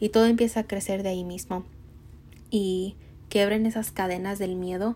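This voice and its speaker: A somewhat breathy voice with monotone, flat intonation. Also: woman, very clean recording, silent background. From Mexico. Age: 20s. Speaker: podcast host and entrepreneur. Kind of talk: motivational monologue.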